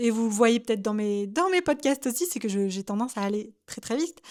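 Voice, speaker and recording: A woman speaks at a high pitch with ordinary pitch variation. The recording is very clean, with a silent background. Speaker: UGC content creator and coach. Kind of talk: solo podcast monologue. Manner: halting.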